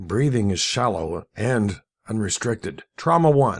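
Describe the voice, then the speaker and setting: A man's raspy, put-on character voice at a fairly low pitch, with lively intonation and a fairly slow pace. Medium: read story. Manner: measured, professional.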